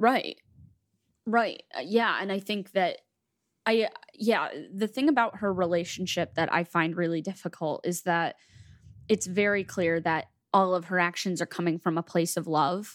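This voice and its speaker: A moderate pace with long, frequent pauses and ordinary pitch variation, on a very clean recording against a silent background. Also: woman, medium pitch for a woman. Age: 20s. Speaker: podcast co-host. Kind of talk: casual chat.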